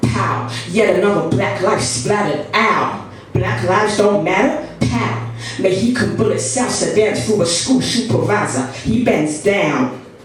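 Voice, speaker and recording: Very wide pitch swings mark this fairly slow delivery, heard against noticeable background noise. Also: woman. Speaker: spoken word poet. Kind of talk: spoken word poetry performance. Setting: live poetry event.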